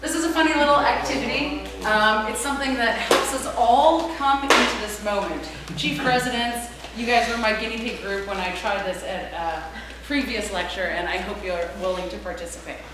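A woman talks at a moderate pace. Audible room echo and noticeable background noise surround her voice. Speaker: lecturer at hospital teaching session. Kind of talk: lecture. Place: meeting room. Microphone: camera far.

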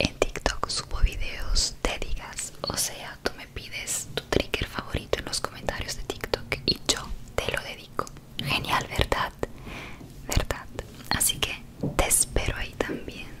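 Loud background noise surrounds a woman who talks at a fairly slow pace. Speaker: ASMR creator. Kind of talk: soft ASMR talk to viewer. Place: home room. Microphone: studio mic.

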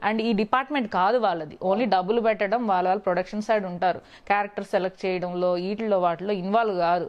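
A woman speaks with fairly even intonation and very even loudness. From Andhra Pradesh, Guntur district; Andhra Pradesh. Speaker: actress; actress interviewee. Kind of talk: interview. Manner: clear; bold. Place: home room. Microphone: lapel.

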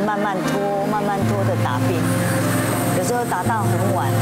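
A woman talks at a moderate pace. Loud music plays in the background. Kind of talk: interview answer. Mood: proud, sentimental. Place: shop. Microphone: lapel.

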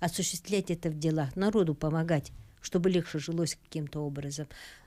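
This woman's voice sits fairly low, with a dark, mellow tone and ordinary pitch variation. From Yakutia (Sakha Republic), Russia. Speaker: studio guest. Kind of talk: interview answer. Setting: live studio. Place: studio. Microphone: studio mic.

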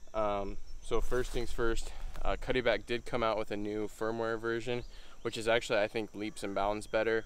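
In a dry sound with no echo, a man's speech moves along at a moderate pace. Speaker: hunting channel host. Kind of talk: tutorial. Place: open country.

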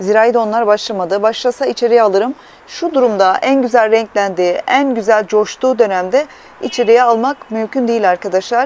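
A woman talks at a moderate pace with ordinary pitch variation, the sound dry with no echo. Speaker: plant hobbyist vlogger. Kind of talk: casual vlog chat. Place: home room. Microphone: phone near.

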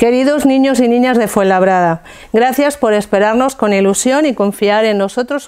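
A woman speaks at a fairly slow pace in a fairly high voice with lively intonation. Her tone is warm and playful, and the background is quiet. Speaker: theatre group actor reading a speech as a Three Kings character. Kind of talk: scripted reading of a festive proclamation, in character. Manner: warm, playful with a laugh, then earnest. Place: studio. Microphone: lapel.

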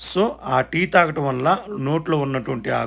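A man's voice sits at a fairly high pitch with ordinary pitch variation and audible vocal fry. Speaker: vlogger. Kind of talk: casual vlog narration. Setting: eating at a function.

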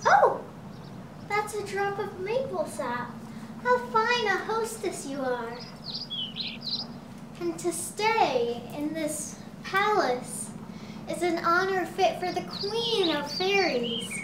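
In a put-on character voice at a high pitch, the speaker goes very slowly with long, frequent pauses, slight echo and loud background noise. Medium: audio drama. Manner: earnest, theatrical.

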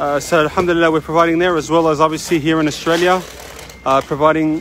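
A man's high voice with a dry sound and no echo, over light background noise. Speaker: charity worker. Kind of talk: on-site video update. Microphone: phone near.

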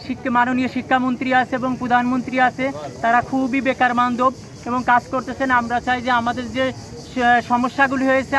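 Light background noise behind a man's dry, echo-free voice. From Bangladesh. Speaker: job applicant protester. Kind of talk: interview testimony. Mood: aggrieved, pleading. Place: street. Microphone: phone near.

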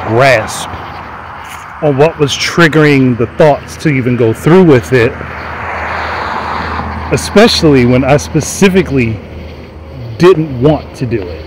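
A man with long, frequent pauses at a fairly slow pace, dry sound with no echo and noticeable background noise. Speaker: podcast host. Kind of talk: personal reflective monologue. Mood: reflective, confessional. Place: street.

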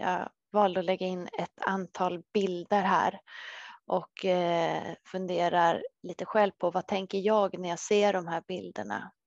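Medium-pitched woman speaking at a fairly slow pace with monotone, flat intonation, dry sound with no echo, and a quiet background. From Sweden, Södertälje; Sweden. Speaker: dietitian; presenter. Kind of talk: webinar talk. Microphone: headset.

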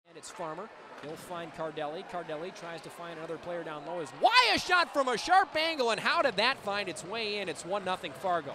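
Hardly pausing, a man talks at a fairly quick pace and high pitch, with ordinary pitch variation, big swings in loudness and noticeable background noise. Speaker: hockey play-by-play announcer. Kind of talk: live hockey commentary, play-by-play call. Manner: fast-paced, excitable, rising with each goal; emphatic, dismayed exclamations over the opposing team's goals.

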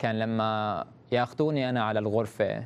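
A man is talking in a medium register. The rise and fall of his voice is typical. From Syria, Banias; Syria. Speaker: human rights activist; interview guest. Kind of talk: interview testimony. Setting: satellite video link. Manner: informal. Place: studio. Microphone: lapel.

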